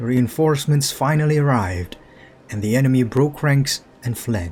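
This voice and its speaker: A man with lively intonation and a medium pitch talks at a moderate pace as noticeable background noise carries on. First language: not English. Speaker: gaming youtuber. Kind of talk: casual chat; reading aloud. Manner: halting; narration style, imitating voice actor.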